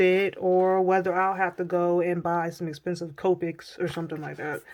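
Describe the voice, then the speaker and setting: Through noticeable background noise, a woman speaks at a fairly slow pace in a fairly low voice. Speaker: art supply reviewer YouTuber. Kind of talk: product review vlog. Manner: casual, chatty.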